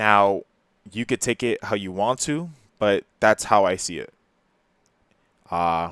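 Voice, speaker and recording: A man with a New Jersey accent speaks at a fairly low pitch with ordinary pitch variation, very slowly and with long, frequent pauses. The recording is very clean with a silent background and a dry, close sound with no echo. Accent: New Jersey American English. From New Jersey, Perth Amboy. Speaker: YouTuber. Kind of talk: personal confessional monologue. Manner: halting, hesitant.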